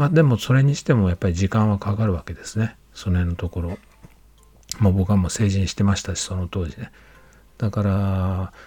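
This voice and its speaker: At a fairly quick pace, a man with a fairly low pitch and a dark, mellow tone sounds somewhat breathy, with ordinary pitch variation. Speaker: podcaster. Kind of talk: solo monologue. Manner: halting, many fillers.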